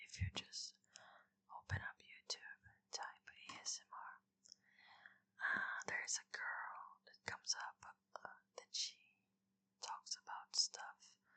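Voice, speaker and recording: The speaker is whispering at a fairly slow pace. Long, frequent pauses break up the words. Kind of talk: casual talk to camera. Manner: whispered.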